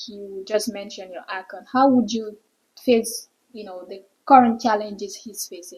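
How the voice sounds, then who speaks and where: Her fairly high voice is an unremarkable speaking voice, and this woman talks at a fairly slow pace. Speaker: interview host. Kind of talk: interview questions.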